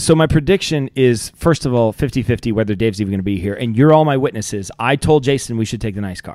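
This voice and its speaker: Against a quiet background, a man with an American accent talks at a very fast pace with lively intonation and hardly any pauses, in a dry sound with no echo. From Ohio. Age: 40s. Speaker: podcast host. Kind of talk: casual chat. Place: studio. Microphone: studio mic.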